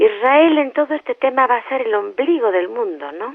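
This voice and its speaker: A woman's voice at a moderate pace, full of very wide pitch swings. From Spain. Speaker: journalist, interviewer. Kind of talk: interview questions.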